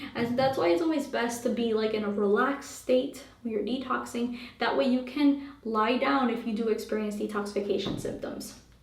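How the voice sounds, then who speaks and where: With hardly any pauses, a woman speaks at a fairly high pitch with ordinary pitch variation, amid audible room echo and noticeable background noise. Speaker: holistic health coach. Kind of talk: Q&A monologue. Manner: fast; casual, many fillers.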